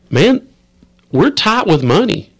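In an Appalachian accent, a man talks at a very slow pace with very wide pitch swings. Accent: Appalachian Kentucky. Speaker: state representative. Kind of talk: casual chat.

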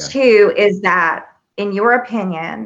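A woman with an American accent, at a very slow pace. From US South. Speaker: podcast host. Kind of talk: interview.

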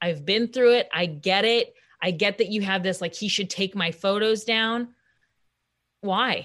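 A plain, everyday voice from a woman with an American accent, fairly slow in pace, medium in pitch, with ordinary pitch variation. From US Midwest. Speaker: comedian. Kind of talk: casual chat. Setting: video call.

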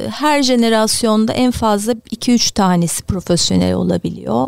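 A woman at a fairly slow pace, the sound dry and close with no echo. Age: 50s. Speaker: basketball club director, former player. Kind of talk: interview.

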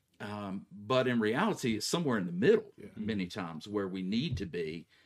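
On a very clean recording with a silent background, a man with a plain, everyday voice speaks at a moderate pace, his fairly low pitch moving with ordinary variation. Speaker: pastor. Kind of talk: casual theological discussion.

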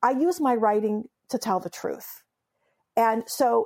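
This is a woman with a Californian accent. The sound is dry and close with no echo, on a very clean recording with a silent background. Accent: Californian American English. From Southern California, raised from age seven after leaving Iran. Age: 50s. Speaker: memoirist and humor writer. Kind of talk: interview.

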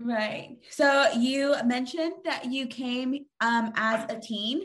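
A loud woman's voice, high in pitch, with ordinary pitch variation at a very slow pace. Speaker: podcast host. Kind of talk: casual chat.

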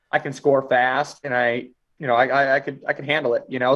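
An ordinary speaking voice from a man with an American accent, medium pitch, fairly even intonation, moderate pace. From US Midwest, small town. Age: 20s. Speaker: wrestler. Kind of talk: interview. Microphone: glitchy, cutting out connection.

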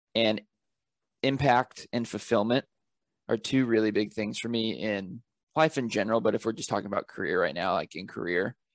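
Against a quiet background with a dry, close sound and no echo, a man with a fairly low pitch uses a normal speaking voice at a fairly quick pace, with ordinary pitch variation. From Northern California. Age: 20s. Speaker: author and travel photographer. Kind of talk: interview. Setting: podcast mic.

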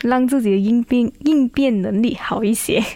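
The woman has an unremarkable speaking voice. Her pitch is fairly high, with ordinary pitch variation. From Malaysia, Kuantan, Pahang. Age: 20s. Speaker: beauty pageant contestant. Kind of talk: radio interview.

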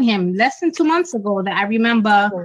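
With an American accent, a woman talks in a medium pitch. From Dominican Republic / Bronx, New York. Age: 40s. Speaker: financial advisor and credit counselor. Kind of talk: casual chat about relationships. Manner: animated, emphatic.

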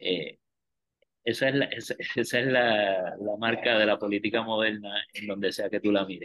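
A man talks in a normal speaking voice at a moderate pace. His pitch is fairly low, with fairly even intonation. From Puerto Rico, Río Piedras. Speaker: lawyer and political scientist. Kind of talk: casual interview about politics.

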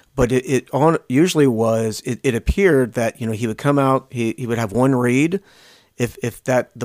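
A plain, everyday voice with an American accent, ordinary pitch variation and a moderate pace, on a very clean recording with a silent background and a dry, close sound with no echo. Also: man. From Lancaster County, Pennsylvania. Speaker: podcast co-host. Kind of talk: casual chat.

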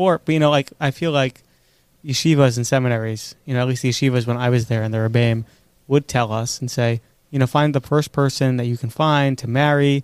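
On a very clean recording with a silent background and a dry, close sound with no echo, a man with a New York accent talks at a fairly quick pace and medium pitch, with fairly even intonation. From New York, Queens and Five Towns. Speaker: podcast co-host. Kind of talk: casual chat.

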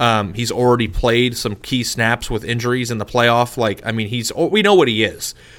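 With an ordinary speaking voice at a medium pitch, a man talks at a moderate pace with ordinary pitch variation and hardly any pauses. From Arizona. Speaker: sports podcast co-host. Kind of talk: casual chat.

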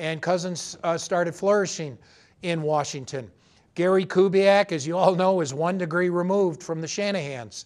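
High male voice at a moderate pace, with ordinary pitch variation. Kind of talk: sports podcast host commentary and interview.

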